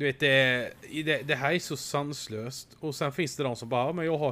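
A man with an ordinary speaking voice, medium pitch, and moderate pace. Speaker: podcast host. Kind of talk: casual chat.

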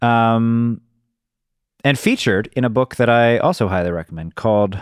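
Speaking at a moderate pace with ordinary pitch variation, a man has a plain, everyday voice. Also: dry, close sound with no echo. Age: 30s. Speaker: podcast host. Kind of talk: casual interview conversation. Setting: remote call.

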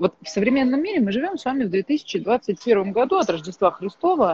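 A woman talks at a fairly quick pace with very wide pitch swings against noticeable background noise. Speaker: thinking coach. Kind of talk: casual chat. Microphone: connection drops.

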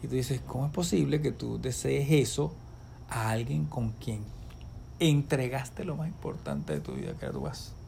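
Audible room echo surrounds speech at a moderate pace. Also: man. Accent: Venezuelan. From Venezuela. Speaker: ophthalmologist and professor. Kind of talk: casual chat.

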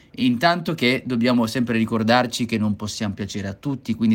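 A man talks at a very fast pace. His pitch sits in the middle range and varies in an ordinary way. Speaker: voice and public speaking coach. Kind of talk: solo educational podcast monologue.

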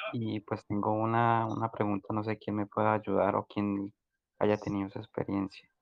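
A man's fairly low voice in monotone, flat intonation, at a moderate pace. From Colombia. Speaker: migrant asking questions. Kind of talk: casual group voice chat.

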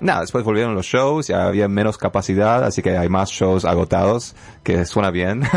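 This man talks at a moderate pace in a fairly low voice, with lively intonation and very even loudness. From Canada. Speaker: rapper and dancer. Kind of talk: radio interview. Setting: radio studio.

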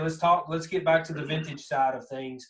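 Somewhat breathy, a man talks in a strong Southern Kentucky accent with ordinary pitch variation. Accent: thick Southern Kentucky. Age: 40s. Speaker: podcast host. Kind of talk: casual interview chat.

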